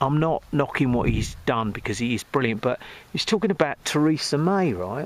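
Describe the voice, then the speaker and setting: A man with an English accent and very wide pitch swings, in a dry, close sound with no echo. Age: 60s. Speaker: music producer and vlogger. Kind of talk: casual vlog monologue. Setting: outdoors. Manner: rambling, hesitant with fillers.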